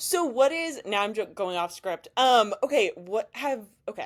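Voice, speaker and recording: An animated woman with an American accent speaks at a fairly high pitch, her voice moving in very wide pitch swings. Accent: others in Missouri say she has an. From Missouri, US Midwest. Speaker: podcast interviewer, bikini bodybuilder. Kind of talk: casual interview chat.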